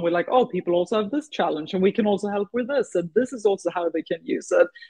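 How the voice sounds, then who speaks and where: A woman with a Swedish accent and ordinary pitch variation. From Sweden. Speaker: startup founder and CEO. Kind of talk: interview. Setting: radio show.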